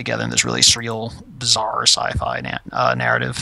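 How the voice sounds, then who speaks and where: A man's very deep, low voice, bright and sharp in tone, with vocal fry, very wide pitch swings and a moderate pace. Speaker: indie game developer streaming. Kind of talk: casual livestream chat. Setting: at home, roommates asleep. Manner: halting, many fillers.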